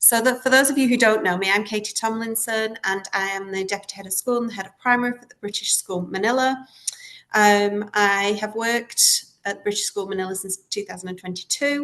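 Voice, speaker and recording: A woman talks at a fairly quick pace with a Lancashire accent and a fairly high pitch. Her intonation stays fairly even while her loudness swings widely. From northern England, Lancashire. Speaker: school leader, head of primary. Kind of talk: webinar presentation.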